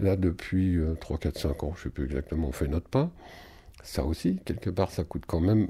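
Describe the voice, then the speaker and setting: Recorded very cleanly against a silent background, a man speaks at a moderate pace in a dark, mellow, somewhat breathy voice with ordinary pitch variation. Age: 60s. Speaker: musician and singer. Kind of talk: interview. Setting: at his home. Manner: halting.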